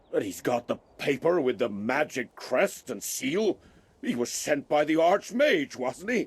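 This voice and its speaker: Putting on a character voice, a man speaks fairly slowly at a fairly high pitch with very wide pitch swings. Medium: video game.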